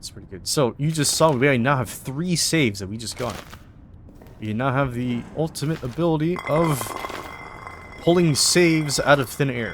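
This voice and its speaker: Against noticeable background noise, a man with a fairly high pitch speaks with big swings in loudness. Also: ordinary pitch variation, moderate pace. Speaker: gaming YouTuber. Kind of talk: gameplay commentary.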